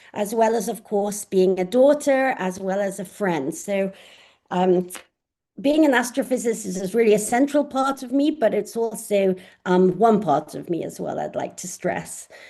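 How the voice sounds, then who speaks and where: Her tone is dark and mellow, her pitch medium for a woman, and her intonation lively. She speaks at a moderate pace with big swings in loudness. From southern England, Oxford. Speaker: astrophysicist professor. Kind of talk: online lecture. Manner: hesitant with frequent fillers.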